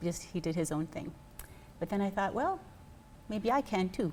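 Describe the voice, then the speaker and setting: A woman with a medium-pitched voice speaks with an American accent and lively intonation. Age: 60s. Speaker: fitness program member. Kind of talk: interview.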